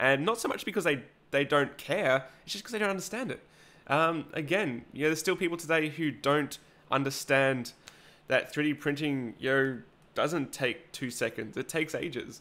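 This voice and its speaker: At a moderate pace, a man with an Australian accent speaks in a bright, sharp tone, fairly high in pitch, with ordinary pitch variation. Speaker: 3D printing YouTuber. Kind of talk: live stream chat reading comments. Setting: live stream at home. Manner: hesitant, many fillers.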